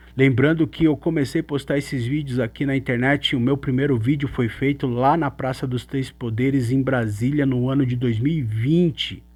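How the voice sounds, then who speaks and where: On a very clean recording with a silent background, a man talks in a Brazilian accent with hardly any pauses. His pitch is medium, and his intonation is fairly even. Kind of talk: religious teaching monologue. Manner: slow; halting, with fillers.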